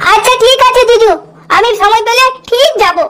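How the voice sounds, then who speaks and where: A woman's squeaky, cartoonish character voice at an extremely high pitch, moderate pace and ordinary pitch variation. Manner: warm, weary.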